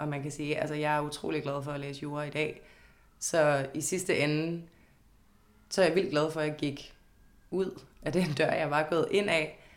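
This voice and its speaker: Amid audible room echo, a woman with a very deep, low pitch speaks at a moderate pace in a monotone, flat intonation, leaving long, frequent pauses. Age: 20s. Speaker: law student. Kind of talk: interview. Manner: hesitant, many fillers.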